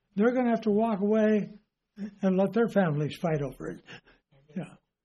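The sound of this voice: A man's high-pitched voice at a moderate pace, with ordinary pitch variation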